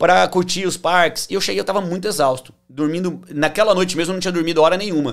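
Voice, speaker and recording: The speaker has an interior São Paulo accent. The pace is fairly quick. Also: man. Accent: interior São Paulo (caipira). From interior of São Paulo state, Brazil (Tupã). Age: 30s. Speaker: financial consultant. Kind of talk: interview, personal life story.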